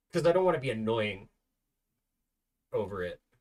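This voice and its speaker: A man speaks in a somewhat breathy voice. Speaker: gaming streamer and video game reviewer. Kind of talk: casual live stream Q&A chat. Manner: halting, repeats words.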